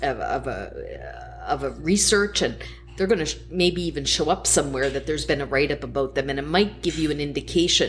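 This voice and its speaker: A woman talks very quickly while clearly audible noise runs in the background. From New Brunswick, Canada. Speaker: LinkedIn coach. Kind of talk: casual chat. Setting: taproom.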